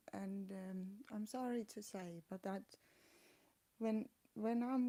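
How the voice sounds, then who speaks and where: A woman's medium-pitched voice with a dark, mellow tone, fairly even intonation, a non-native accent and a very slow pace. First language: not English. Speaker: vlogger with chronic illness. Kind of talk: personal vlog. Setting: home flat. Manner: halting.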